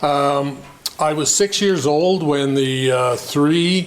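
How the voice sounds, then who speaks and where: In a Canadian prairie accent, a man speaks at a fairly high pitch amid audible room echo and noticeable background noise. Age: 70s. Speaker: farmer. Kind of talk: public meeting self-introduction. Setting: community meeting hall, no microphone. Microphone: no microphone, speaking to the room.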